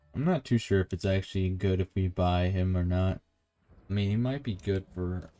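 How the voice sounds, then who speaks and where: Music plays behind a man whose calm voice is very deep and low, moving at a moderate pace with fairly even intonation. The sound is dry and close, with no echo. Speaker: gaming streamer. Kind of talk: gameplay commentary.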